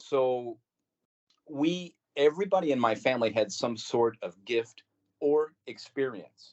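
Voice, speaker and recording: A man with a US Midwestern accent speaks at a fairly slow pace and a medium pitch, with lively intonation and long, frequent pauses. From Missouri, St. Louis. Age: 60s. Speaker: podcast guest recounting paranormal experiences. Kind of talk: casual interview storytelling.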